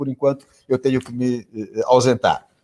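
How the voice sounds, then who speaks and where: A man speaks here. His tone is dark and mellow. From Portugal. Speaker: tourism specialist panelist. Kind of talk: live panel debate. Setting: video livestream.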